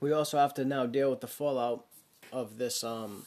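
This is a plain, everyday voice in an American accent. Its speed is moderate and its intonation fairly even. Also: man. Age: 30s. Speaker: podcast host. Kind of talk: casual solo monologue.

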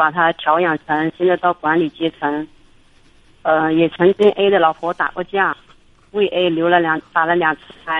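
A woman speaks at a moderate pace with fairly low pitch. Her intonation is monotone and flat, with long, frequent pauses. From Hubei, China. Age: 40s. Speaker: caller, small factory owner. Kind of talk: radio call-in, personal problem.

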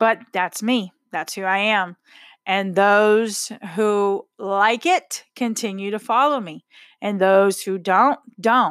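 A woman with a Texan accent talks at a very slow pace, in a dry, close sound with no echo. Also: medium pitch for a woman, ordinary pitch variation. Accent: Texan American English. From Texas. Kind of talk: casual monologue. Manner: outspoken, blunt.

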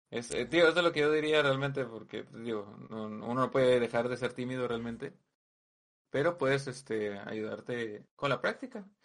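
Ordinary pitch variation runs through an unremarkable speaking voice that keeps a moderate pace. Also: man, medium pitch for a man. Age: 20s. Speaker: streamer and online poker player. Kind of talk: casual chat.

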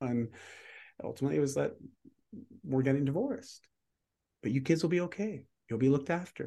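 Speaking at a very fast pace broken by long, frequent pauses, a man with a dark, mellow tone sounds somewhat breathy and uses ordinary pitch variation. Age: 40s. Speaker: fitness and lifestyle coach, keynote speaker. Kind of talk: interview conversation.

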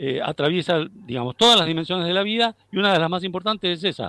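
A man talks in a fairly high pitch with lively intonation. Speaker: philosophy professor. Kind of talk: interview. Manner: halting.

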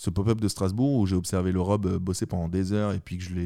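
Over a silent background in a very clean recording, the voice moves at a fairly quick pace with a dark, mellow tone and monotone, flat intonation. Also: man. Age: 20s. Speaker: tattoo artist. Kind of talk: casual chat.

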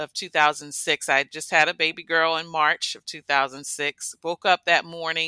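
A bright, sharp tone with an American accent and fairly even intonation, dry and close with no echo, on a very clean recording with a silent background. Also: woman. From Washington D.C. metropolitan area. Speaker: kidney transplant recipient and school coordinator. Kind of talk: interview conversation.

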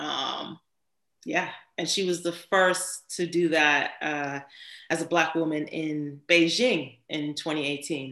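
Speaking with an American accent, a woman has a very deep, low pitch. Her pace is very slow. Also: fairly even intonation. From Miami, Florida. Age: 30s. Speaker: podcast co-host. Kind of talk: casual chat.

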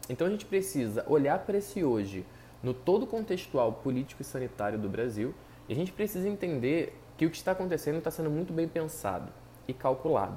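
With a dark, mellow tone and vocal fry, a man talks at a fairly quick pace in a fairly high pitch that swings very widely. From Brazil. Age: 20s. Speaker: psychologist and podcaster. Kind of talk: solo commentary podcast.

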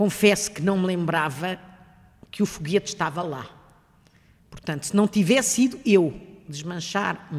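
The speaker talks at a fairly slow pace. The intonation is lively. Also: woman. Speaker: retired engineering professor. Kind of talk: interview, personal recollection.

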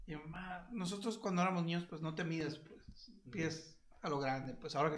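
A man with a Mexican accent talks at a moderate pace and fairly high pitch, with ordinary pitch variation and audible room echo. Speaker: podcast co-host. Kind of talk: casual chat. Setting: live stream on Facebook.

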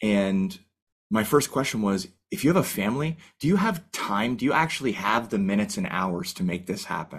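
A man with a Canadian accent talks at a moderate pace in a medium pitch. His pitch swings very widely. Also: very clean recording, silent background. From Canada. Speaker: firefighter and goal-setting coach. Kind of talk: casual interview. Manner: animated.

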